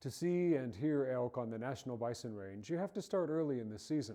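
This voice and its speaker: A man with an American accent, medium pitch, a dark, mellow tone, lively intonation and a moderate pace. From Montana. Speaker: TV host. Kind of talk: scripted narration. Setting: museum.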